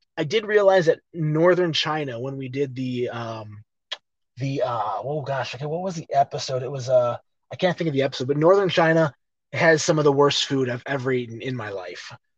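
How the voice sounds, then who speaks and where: A fairly high-pitched, somewhat breathy man with an American accent, talking at a fairly quick pace with big swings in loudness. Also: ordinary pitch variation. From Chicago. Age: 40s. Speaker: actor and fight commentator. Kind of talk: casual interview chat.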